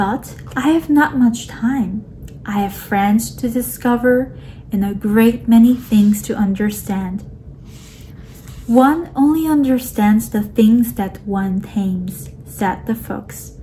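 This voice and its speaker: At a very slow pace, a woman with a non-native accent speaks in a fairly high pitch with ordinary pitch variation, over noticeable background noise. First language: not English. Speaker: audiobook reader. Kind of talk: reading aloud.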